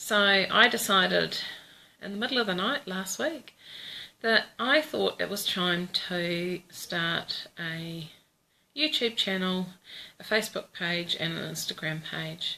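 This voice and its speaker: A woman with a New Zealand accent speaks at a very slow pace and a medium pitch. Her intonation is lively, and her voice has vocal fry. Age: 40s. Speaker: vlogger. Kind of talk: casual chat. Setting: Facebook live video. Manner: hesitant, many fillers.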